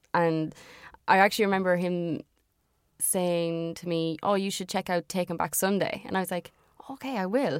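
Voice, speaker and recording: In an Irish accent, a woman with a fairly low pitch and ordinary pitch variation speaks at a moderate pace with long, frequent pauses, on a very clean recording with a silent background. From Irish Midlands. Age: 20s. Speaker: musician in a band. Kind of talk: casual interview chat. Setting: studio or sit-down recording. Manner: hesitant, many fillers.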